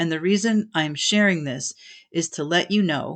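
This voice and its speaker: A woman's fairly low voice, a normal speaking voice, at a moderate pace with ordinary pitch variation over a quiet background. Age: 60s. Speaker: podcast host and aspiring voice actor. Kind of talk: solo podcast monologue. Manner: casual with frequent fillers. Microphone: home setup not professional sounding.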